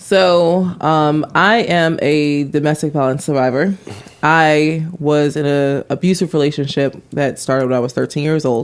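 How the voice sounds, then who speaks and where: With music in the background, a woman speaks fairly slowly at very even loudness, her pitch very deep and low with ordinary variation. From Washington DC area. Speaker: author and business owner. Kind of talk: podcast interview.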